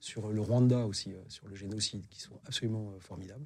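A somewhat breathy man's voice, fairly low in pitch, with a dark, mellow tone and a fairly quick pace. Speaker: war reporter. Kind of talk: interview testimony.

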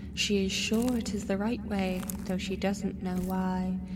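There is noticeable background noise behind this woman as she talks. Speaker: dream narrator. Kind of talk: dreamlike scripted narration.

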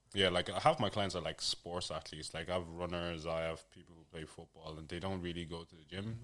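A man with a London accent speaks in a very deep, low, monotone voice with flat intonation. His pace is fairly quick, with big swings in loudness. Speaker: fitness coach. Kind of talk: casual chat.

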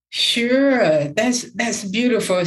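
A woman speaks at a very slow pace. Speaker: podcast host. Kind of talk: podcast interview.

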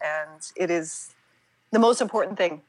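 This woman has a plain, everyday voice, pitched in the medium range with ordinary pitch variation. The background is silent and the recording very clean. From US, Pittsburgh, Pennsylvania. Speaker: yoga teacher and author. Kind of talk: casual interview.

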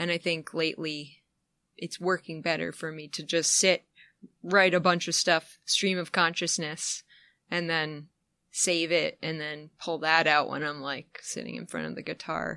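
Against a quiet background, a woman with a fairly low, bright, sharp voice and vocal fry speaks at a fairly slow pace in a flat monotone, with big swings in loudness. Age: 30s. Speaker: musician. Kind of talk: casual chat. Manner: halting.

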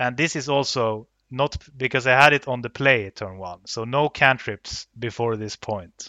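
A man with a Swedish accent talks at a moderate pace and a medium pitch. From northern Sweden, Luleå. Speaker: card game competitor. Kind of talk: podcast interview. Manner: hesitant with many fillers.

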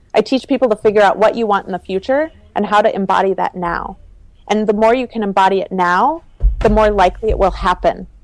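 Over music in the background, a woman speaks very fast with an American accent. Her pitch is medium, with ordinary pitch variation. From US Midwest (Minnesota). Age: 30s. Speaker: entrepreneur and fashion designer. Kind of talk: interview conversation.

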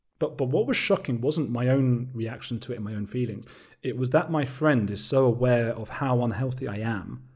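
A somewhat breathy man with an English accent at a fairly quick pace, on a very clean recording with a silent background. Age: 30s. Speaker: documentary maker and podcast host. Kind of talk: interview. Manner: talkative.

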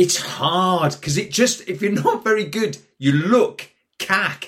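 With a Geordie accent, a man speaks using lively intonation. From northern England, Newcastle. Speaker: actor. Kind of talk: casual chat. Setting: studio.

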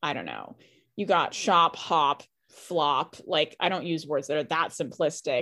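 In a very clean recording with a silent background, a woman with an American accent speaks fairly slowly, her very deep, low pitch carried by fairly even intonation. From Boston. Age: 20s. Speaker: poet. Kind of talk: interview.

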